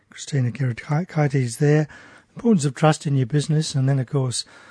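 The voice is somewhat breathy, with ordinary pitch variation. The sound is dry and close, with no echo. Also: man. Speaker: radio host. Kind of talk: radio talk show. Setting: radio studio.

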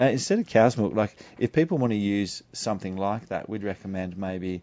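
Here a man speaks with an Australian accent. His pitch is fairly low. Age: 40s. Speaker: naturopath. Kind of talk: radio interview.

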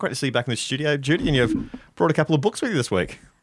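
Lively intonation runs through this man's speech, delivered with an Australian accent. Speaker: radio host. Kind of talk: radio talkback. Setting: studio.

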